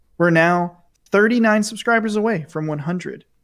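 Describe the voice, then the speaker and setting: A man speaks quietly at a moderate pace with ordinary pitch variation. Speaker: podcast co-host. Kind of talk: casual chat. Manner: quiet voice.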